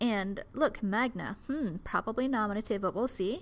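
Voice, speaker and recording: With an Ohio accent, a woman speaks at a fairly slow pace and a fairly high pitch. Her intonation is lively, and the recording is very clean with a silent background. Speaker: Latin teacher. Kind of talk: educational commentary.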